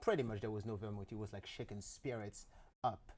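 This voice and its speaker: The voice has a dark, mellow tone with a French accent. The recording is very clean with a silent background. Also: man. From France. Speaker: spirits brand ambassador. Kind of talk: casual TV interview.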